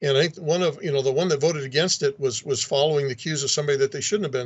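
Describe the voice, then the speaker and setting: This man's voice sits fairly high and comes across somewhat breathy. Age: 60s. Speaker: state legislator. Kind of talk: interview.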